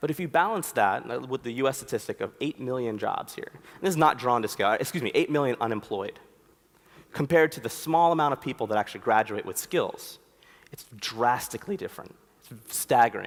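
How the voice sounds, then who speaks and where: A fairly high-pitched man with an American accent, lively intonation, a fairly quick pace and big swings in loudness. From US, Philadelphia. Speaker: conference speaker, designer. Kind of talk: conference talk. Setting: stage with audience. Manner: casual, conversational.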